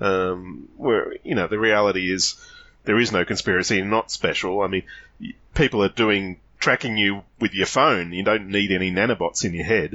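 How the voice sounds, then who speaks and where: This man speaks with an Australian accent. His pitch is fairly low and his pace moderate. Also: fairly even intonation. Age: 50s. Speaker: podcast guest. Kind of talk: casual chat.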